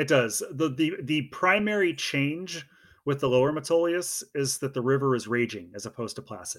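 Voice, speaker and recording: This man has a normal speaking voice and an American accent, pitched fairly high. He talks at a moderate pace with lively intonation. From Oregon. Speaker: hiking guidebook author. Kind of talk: casual interview.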